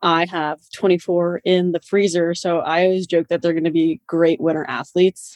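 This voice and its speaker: A woman speaks in an unremarkable speaking voice, fairly low in pitch with fairly even intonation. Her moderate pace comes through in a dry, close sound with no echo. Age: 20s. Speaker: young adult cancer survivor. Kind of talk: casual chat.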